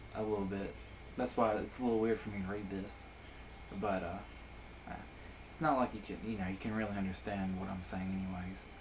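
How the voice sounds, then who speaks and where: A man's fairly low voice at a very fast pace, with long, frequent pauses and audible room echo. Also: ordinary pitch variation. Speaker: amateur poet and video blogger. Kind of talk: casual monologue. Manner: halting, many fillers.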